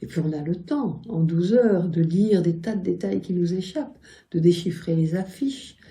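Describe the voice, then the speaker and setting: A woman's voice sits fairly low in pitch, somewhat breathy, with a dark, mellow tone. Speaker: poet and writer. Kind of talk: interview answer. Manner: gentle, gracious.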